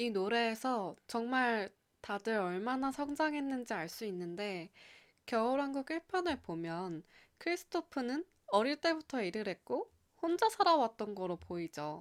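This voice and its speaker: In a very clean recording with a silent background and a dry, close sound with no echo, a woman speaks with very wide pitch swings. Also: fairly high pitch for a woman, fairly slow pace. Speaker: radio-style channel host. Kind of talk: scripted radio-style talk with lyric reading. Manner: warm, friendly, conversational.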